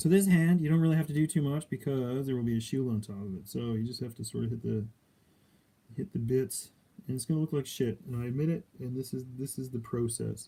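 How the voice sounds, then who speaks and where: Very fast in pace, a man speaks with medium pitch and ordinary pitch variation. His tone is dark and mellow, and somewhat breathy. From Canada, Alberta. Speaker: miniature painter streamer. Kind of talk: casual live stream tutorial. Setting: live stream. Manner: casual, hesitant with fillers.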